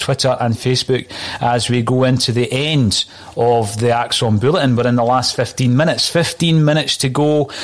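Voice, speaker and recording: Over noticeable background noise, a man with a Scottish accent speaks at medium pitch and a moderate pace. His loudness is very even and his intonation fairly even. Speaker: podcast host. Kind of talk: casual football chat.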